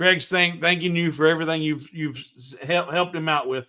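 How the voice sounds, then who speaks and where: This man has a high pitch and a bright, sharp tone. He speaks with a Southern US accent. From US South. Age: 50s. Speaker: woodworking livestream host. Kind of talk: casual chat. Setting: livestream.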